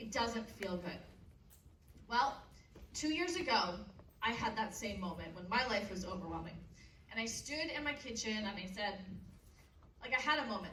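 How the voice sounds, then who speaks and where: There is audible room echo and noticeable background noise as a woman speaks with long, frequent pauses. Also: fairly high pitch for a woman, lively intonation, moderate pace. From Canada. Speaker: motivational speaker. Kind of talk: keynote speech to teenagers. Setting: stage with audience.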